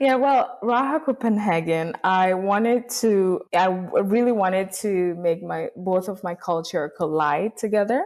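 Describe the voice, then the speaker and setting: A woman with a Rwandan accent talks at a fairly slow pace with lively intonation. She leaves hardly any pauses. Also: medium pitch for a woman. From Rwanda, some years in Kenya. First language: Kinyarwanda. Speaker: small business founder. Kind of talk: podcast interview. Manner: halting, many fillers.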